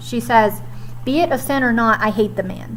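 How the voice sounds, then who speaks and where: Noticeable background noise sits under the woman's fairly slow speech. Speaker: high school English teacher. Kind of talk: recorded lesson recap for students.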